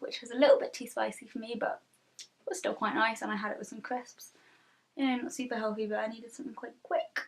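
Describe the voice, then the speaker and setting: Speaking very fast with a British accent, a woman with a high pitch shows big swings in loudness. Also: ordinary pitch variation. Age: 20s. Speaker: freelance illustrator. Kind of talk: casual vlog talk to camera. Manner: rambling, hesitant.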